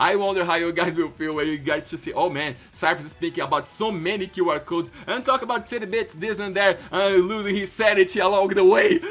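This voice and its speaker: Over music in the background, a man with a Brazilian accent talks fairly quickly at a high pitch, animated in tone and with lively intonation. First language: Portuguese. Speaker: YouTuber. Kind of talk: casual vlog narration.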